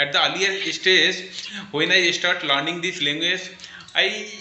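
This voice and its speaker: With noticeable noise behind him and an audible echo in the room, a man delivers his words very slowly. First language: Bengali. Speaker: English learner. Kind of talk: casual conversation practice.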